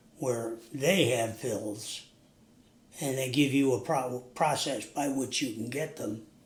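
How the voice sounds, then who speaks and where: In a room with audible echo, a man with an American accent speaks at a very slow pace, his medium-pitched, somewhat breathy voice showing ordinary pitch variation. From US Northeast. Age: 80s+. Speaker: recovering alcoholic, interview guest. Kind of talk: interview. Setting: sit-down interview.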